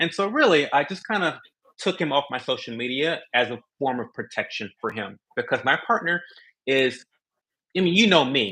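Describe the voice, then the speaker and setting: A man's fairly high voice, bright and sharp in tone, with very wide pitch swings, a moderate pace and a quiet background. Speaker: content creator. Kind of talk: podcast interview. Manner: loud.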